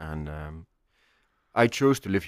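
A man talks with a very deep, low pitch. The sound is dry and close without echo, on a very clean recording with a silent background. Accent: Icelandic. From Iceland. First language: Icelandic. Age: 30s. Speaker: chef. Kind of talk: casual interview.

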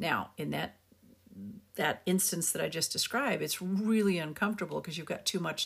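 Speaking at a fairly quick pace, a woman uses lively intonation with vocal fry. The recording is very clean, with a silent background. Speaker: podcast host on communication skills. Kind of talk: solo podcast monologue. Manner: animated.

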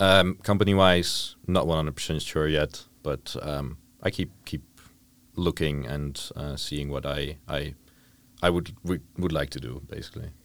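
A man talks at a fairly slow pace in a very deep, low pitch with vocal fry. His pitch variation is ordinary. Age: 20s. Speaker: tourism management student. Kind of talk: casual chat.

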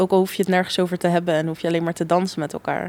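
Speaking in an ordinary speaking voice, a woman keeps a medium pitch and fairly even intonation. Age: 20s. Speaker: law student. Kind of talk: casual chat.

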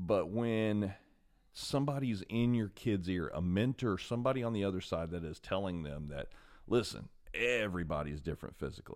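With lively intonation and a moderate pace, a man speaks in a fairly low, unremarkable speaking voice. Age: 40s. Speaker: podcast host and martial arts instructor. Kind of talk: solo podcast monologue. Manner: casual, with many filler words.

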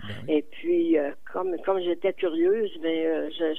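A woman at a very slow pace with very wide pitch swings and noticeable background noise. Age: 80s+. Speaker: community volunteer. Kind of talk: radio interview.

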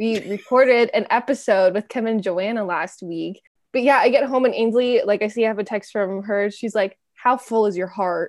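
A plain, everyday voice speaks at a moderate pace with ordinary pitch variation and hardly any pauses. The background is quiet. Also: woman, fairly high pitch for a woman. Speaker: podcast host. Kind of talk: casual interview chat.

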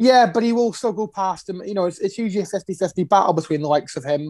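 In a very clean recording with a silent background and a dry, close sound with no echo, a man with a high pitch and a dark, mellow tone speaks at a fairly quick pace with ordinary pitch variation. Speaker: podcast co-host. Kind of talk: casual banter.

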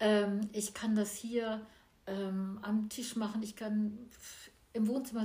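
This woman's voice is somewhat breathy and fairly high, with a dark, mellow tone and a monotone, flat intonation. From small village in Germany. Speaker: painter and musician. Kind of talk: casual interview. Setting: artist's studio at home.

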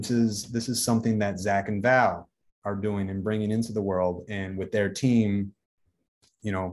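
At a moderate pace, a man with an Upper Midwest accent speaks in a fairly low pitch with monotone, flat intonation. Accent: Upper Midwest American. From US Midwest, Racine, Wisconsin. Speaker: food brand founder. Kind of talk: podcast interview. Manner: casual, filler-heavy.

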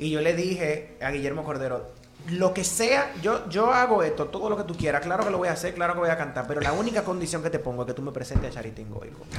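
A man with a high pitch speaks at a very fast pace with lively intonation. Audible room echo and noticeable background noise surround him. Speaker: singer and music therapist. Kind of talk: casual chat.

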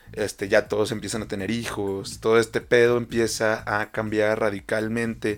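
A man with a Mexican accent speaks at a moderate pace with hardly any pauses. His fairly low pitch stays in a monotone, flat intonation. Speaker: podcast co-host. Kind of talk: casual chat. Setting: studio.

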